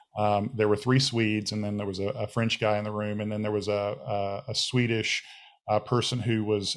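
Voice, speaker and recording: A man with an American accent and a fairly low pitch speaks at a moderate pace. His intonation is monotone and flat. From United States. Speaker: technology panelist. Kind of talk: webinar panel discussion.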